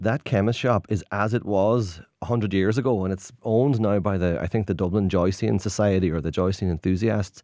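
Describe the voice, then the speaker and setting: With a Donegal accent, a man talks at a fairly quick pace in a dark, mellow tone, with ordinary pitch variation, very even loudness and hardly any pauses. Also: fairly low pitch for a man, quiet background. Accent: Donegal Irish. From Ireland, Derry and Donegal. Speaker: tour guide. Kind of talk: radio interview.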